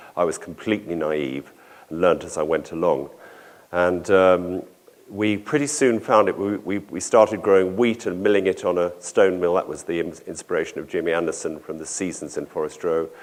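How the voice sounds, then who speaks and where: A man's very deep, low voice in a southern English accent, at a moderate pace with ordinary pitch variation. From southern England, London area. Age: 60s. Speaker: organic dairy farmer and conference speaker. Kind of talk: conference talk. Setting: conference hall with audience. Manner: halting, with many fillers.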